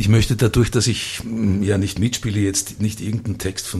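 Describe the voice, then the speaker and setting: Very fast speech from a man with a fairly low pitch, over noticeable background noise. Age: 60s. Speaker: theatre director. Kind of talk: radio interview.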